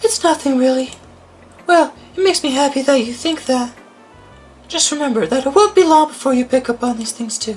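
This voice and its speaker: A breathy, high-pitched, put-on character voice at a fairly quick pace, with long, frequent pauses and music in the background. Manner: modest, warm, encouraging.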